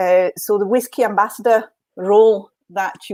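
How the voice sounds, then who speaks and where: The speaker is a woman. She talks with a French accent. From France, French Alps. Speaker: whisky sales manager. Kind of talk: live online tasting chat. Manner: hesitant, many fillers.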